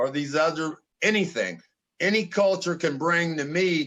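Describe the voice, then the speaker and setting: A man's high-pitched voice at a very slow pace, with fairly even intonation. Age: 60s. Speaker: podcast co-host. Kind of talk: casual conversational discussion.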